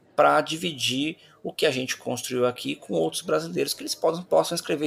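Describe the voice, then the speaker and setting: A man keeps to a moderate pace while noticeable background noise carries on behind him. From Brazil. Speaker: company founder and CEO. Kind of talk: interview. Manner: halting, with repetitions.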